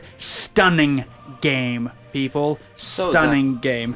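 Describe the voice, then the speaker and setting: Through noticeable background noise, a man with a British accent speaks in fairly even intonation. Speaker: podcast co-host.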